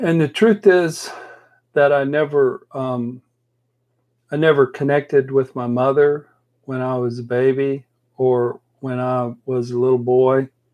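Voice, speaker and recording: A man with a medium-pitched voice talks with long, frequent pauses. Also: fairly slow pace. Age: 60s. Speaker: life coach and counselor. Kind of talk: casual chat. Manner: animated.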